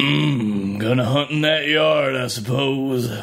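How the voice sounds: A man puts on a character voice at a medium pitch, speaking very slowly.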